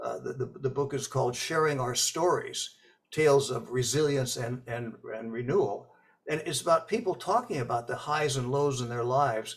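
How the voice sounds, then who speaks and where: Noticeable background noise sits behind a man with an American accent. He talks at a moderate pace in a fairly high pitch with ordinary pitch variation. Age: 80s+. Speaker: author and speech coach. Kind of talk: interview. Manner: hesitant, many fillers and repetitions.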